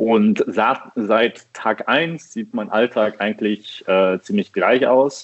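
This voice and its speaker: A man at a very slow pace, medium pitch, and ordinary pitch variation. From Düsseldorf, western Germany. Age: 30s. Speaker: coffee roaster. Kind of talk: casual chat. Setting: phone call.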